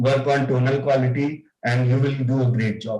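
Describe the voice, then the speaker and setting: A man's somewhat breathy voice with an Indian accent, fairly high in pitch, at a fairly slow pace and with monotone, flat intonation. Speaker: club member giving evaluation. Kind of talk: spoken feedback in online club meeting. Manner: halting, many fillers.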